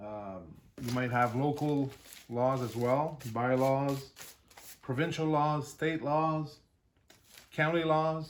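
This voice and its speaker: This man talks at a very slow pace with a French Canadian accent. His pitch is medium, with ordinary variation. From French Canada (Quebec region). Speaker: YouTuber, jeep and drone hobbyist. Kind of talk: unboxing video. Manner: hesitant, many fillers.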